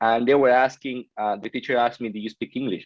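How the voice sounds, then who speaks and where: A man with a Peruvian accent talks at a very fast pace. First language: Spanish. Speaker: podcast guest. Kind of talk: interview. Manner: halting, with many self-corrections.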